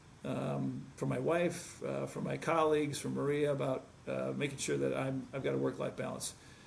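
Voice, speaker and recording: Fairly quick speech from a man, noticeable background noise and audible room echo around it. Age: 60s. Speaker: medical device sales executive. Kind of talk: interview. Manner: halting.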